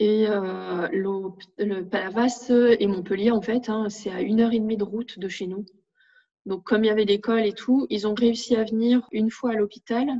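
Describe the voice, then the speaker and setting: A woman with an unremarkable speaking voice talks at a moderate pace, her fairly high pitch held in fairly even intonation. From northern France. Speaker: parent of a diabetic child. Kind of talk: testimony.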